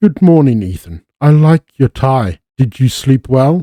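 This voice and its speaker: A man's put-on character voice at a medium pitch with very wide pitch swings and a fairly slow pace, in a dry, close sound with no echo. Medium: read story. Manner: warm, giggly.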